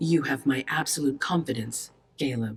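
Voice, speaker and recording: A put-on character voice, low-to-middle in pitch, at a moderate pace. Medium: video game. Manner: authoritative.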